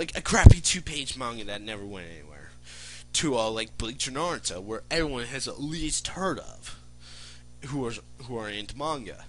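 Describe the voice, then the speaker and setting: Against noticeable background noise, a man talks at a medium pitch and moderate pace with lively intonation. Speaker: aspiring manga artist vlogger. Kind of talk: casual vlog monologue. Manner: rambling, filler-heavy.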